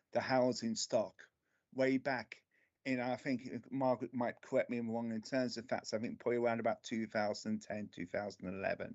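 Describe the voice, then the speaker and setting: In a strong London accent, a man speaks at a medium pitch and a fairly quick pace, with monotone, flat intonation. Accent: London accent, still strong. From central London (Camden). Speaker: local councillor. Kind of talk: committee meeting remarks. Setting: remote video meeting.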